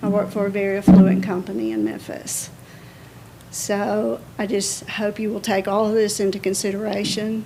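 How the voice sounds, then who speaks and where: Audible room echo surrounds the recording. A woman speaks at a medium pitch. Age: 60s. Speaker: resident speaking at public comment. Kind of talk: public comment at city council meeting. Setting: city board meeting.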